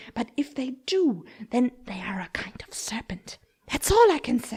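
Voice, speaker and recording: Using a put-on character voice, a woman speaks at a high pitch and a moderate pace, with very wide pitch swings and big swings in loudness. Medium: read story. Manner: indignant, complaining.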